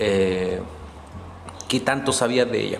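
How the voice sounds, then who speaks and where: A man speaks with a Chilean accent. Noticeable background noise and audible room echo are present. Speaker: podcaster. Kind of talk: storytelling monologue.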